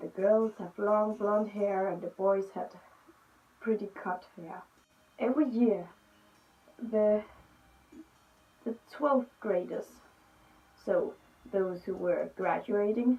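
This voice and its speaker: A woman with a Danish accent, speaking with long, frequent pauses. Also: medium pitch for a woman, ordinary pitch variation. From Denmark. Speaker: youtuber. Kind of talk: storytelling vlog. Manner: halting.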